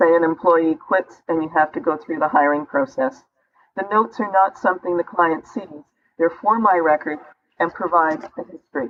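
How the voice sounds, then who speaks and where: Her ordinary speaking voice sits at a fairly low pitch as a woman talks at a moderate pace with lively intonation. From Canada. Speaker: business consultant. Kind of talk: interview answer.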